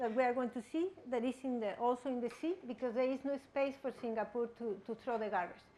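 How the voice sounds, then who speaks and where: With a Spanish accent, a woman talks at a moderate pace. Her pitch is high, with ordinary variation. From Mexico. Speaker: guest lecturer. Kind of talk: lecture. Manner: halting, with frequent repetitions.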